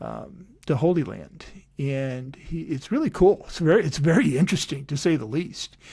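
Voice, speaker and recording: His voice is fairly high for a man, somewhat breathy, and dark and mellow in tone, with ordinary pitch variation and big swings in loudness. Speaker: podcast host and coach. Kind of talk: casual podcast outro. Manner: fast.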